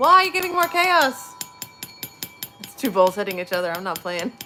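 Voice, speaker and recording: Against noticeable background noise, a woman speaks fairly quickly with very wide pitch swings. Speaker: livestreamer leading sound bowl relaxation. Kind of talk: guided meditation. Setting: livestream. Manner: soft-spoken.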